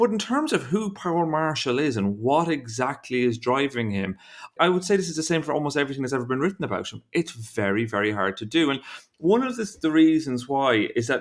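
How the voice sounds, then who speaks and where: The speaker has an Irish accent and a fairly quick pace. The pitch swings very widely. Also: man, very clean recording, silent background. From Ireland. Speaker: investigative journalist. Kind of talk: podcast interview. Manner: halting, with self-corrections.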